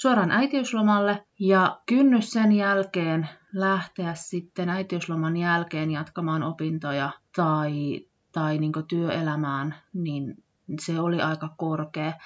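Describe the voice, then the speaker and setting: A woman's fairly low voice comes through over a quiet background. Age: 30s. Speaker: podcast host, former childcare worker. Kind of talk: solo podcast monologue. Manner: hesitant, many fillers.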